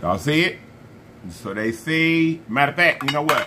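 A man talks over noticeable background noise. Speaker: food challenge host. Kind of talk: casual vlog chat. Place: home room. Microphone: phone near.

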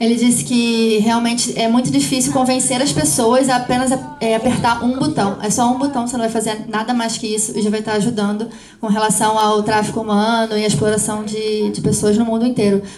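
A woman with a fairly high pitch talks at a very fast pace amid noticeable background noise. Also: ordinary pitch variation. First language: Portuguese. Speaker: interpreter and panel moderator. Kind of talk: live interpretation. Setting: stage with audience.

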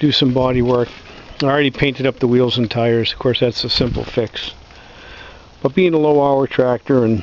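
A man at a fairly quick pace, with fairly even intonation, dry sound with no echo and light background noise. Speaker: tractor owner doing repair. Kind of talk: casual explanatory walkaround. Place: open country. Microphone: phone near.

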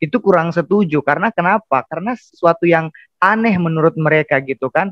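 A man at a fairly quick pace, ordinary pitch variation, against a quiet background. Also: dry sound with no echo. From Indonesia, Central Sulawesi (Palu), Bugis family; Central Sulawesi, Indonesia. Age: 20s. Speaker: seminary student, convert; guest. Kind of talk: testimony. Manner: halting. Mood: earnest, emotional testimony. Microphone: earbuds.

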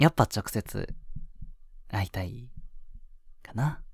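Slow and put-on, this character voice has lively intonation, vocal fry and a slightly husky edge, in a dry, close sound with no echo. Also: man, fairly low pitch for a man.

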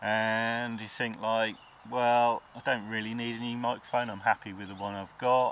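A man is speaking over light background noise. The sound is dry with no echo. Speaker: photography vlogger. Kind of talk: casual vlog chat. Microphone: lapel.

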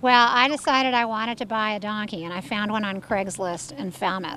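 Bright, sharp tone from a woman at a moderate pace, with ordinary pitch variation, a dry sound with no echo and light background noise. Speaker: interviewee. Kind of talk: interview answer. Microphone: handheld.

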